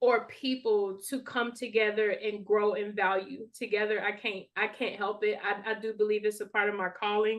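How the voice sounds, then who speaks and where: A woman speaks in a normal speaking voice with an American accent, her pitch fairly high and her intonation fairly even. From mixed: New Orleans, Ohio and Texas. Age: 30s. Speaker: HR specialist and community organizer. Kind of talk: casual interview. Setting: in person, casual meal setting.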